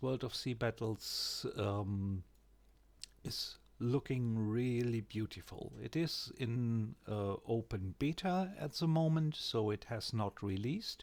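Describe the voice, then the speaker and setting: In a very clean recording with a silent background, a man with a German accent speaks at a very slow pace and medium pitch, his intonation lively. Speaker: gaming YouTuber. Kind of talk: game tutorial. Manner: hesitant, with fillers.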